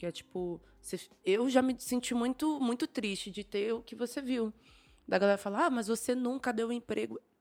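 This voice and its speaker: Over music in the background, a woman with a fairly high pitch talks at a moderate pace with ordinary pitch variation. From São Paulo, East Zone periphery. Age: 30s. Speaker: stylist and creative director. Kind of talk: casual chat.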